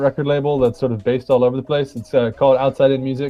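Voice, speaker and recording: Music plays in the background as a man talks at a very fast pace. His pitch sits fairly high. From South Africa. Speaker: saxophonist and band leader. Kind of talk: casual chat. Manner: halting.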